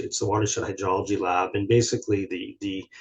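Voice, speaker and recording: A man with a Canadian accent speaks in a somewhat breathy voice. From southern Ontario, Canada. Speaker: research scientist, hydrologist. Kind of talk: webinar presentation. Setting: video call. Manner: fast; hesitant, many fillers and restarts.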